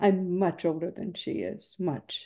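Woman's fairly low voice, dark and mellow in tone, with fairly even intonation against a quiet background. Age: 70s. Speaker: podcast host. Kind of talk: interview. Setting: video call. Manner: warm, effusive. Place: home room. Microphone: video call.

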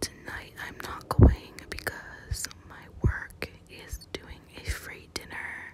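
Whispering from a woman. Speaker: ASMR planner content creator. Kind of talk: casual talk to camera, plan-with-me ASMR. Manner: whispered, soft-spoken.

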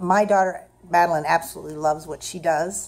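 This woman's voice sits at a fairly low pitch. Her pitch varies in an ordinary way. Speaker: show host and stage mom. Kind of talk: casual documentary hosting. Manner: upbeat, animated. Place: home room. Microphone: phone near.

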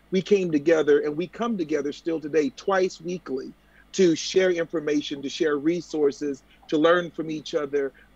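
The pace is moderate and the sound is dry with no echo. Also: man, fairly high pitch for a man, ordinary pitch variation. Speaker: jazz foundation board chair. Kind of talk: panel discussion. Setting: video call. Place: home room. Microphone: video call.

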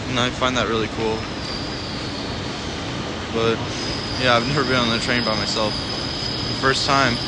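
Loud background noise surrounds a man talking at a moderate pace. The sound is dry, with no echo. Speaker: vlogger. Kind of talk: casual vlog chat. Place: station. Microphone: phone near.

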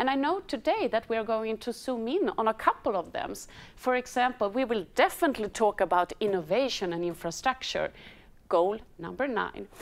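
A woman's fairly high voice with a Swedish accent at a moderate pace. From Sweden. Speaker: embassy department head, moderator. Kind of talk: moderated panel webinar. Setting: studio. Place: hall. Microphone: lapel.

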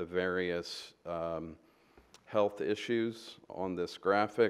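A man speaks with a very deep, low voice. His intonation stays fairly even. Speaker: presenter. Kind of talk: presentation to council. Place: meeting room.

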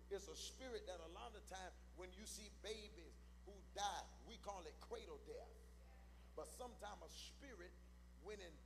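A man talks at a moderate pace with light noise in the background. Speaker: preacher. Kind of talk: sermon. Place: church. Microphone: handheld.

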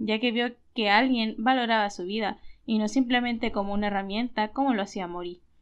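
A woman with an ordinary speaking voice, fairly high in pitch, talks at a moderate pace and varies her pitch in an ordinary way. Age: 20s. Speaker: YouTuber analyzing anime characters. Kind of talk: video commentary / character analysis. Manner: cheerful, occasional laughter.

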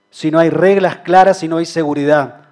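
Against a quiet background, a man speaks with a high pitch, ordinary pitch variation and a dark, mellow tone. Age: 30s. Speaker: mayoral candidate, lawyer; candidate, lawyer. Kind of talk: political debate speech. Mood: earnest, persuasive. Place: hall. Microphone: podium.

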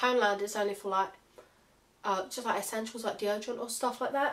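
This woman has a British accent. Her pitch is fairly high. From United Kingdom. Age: young. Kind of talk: casual haul vlog to camera.

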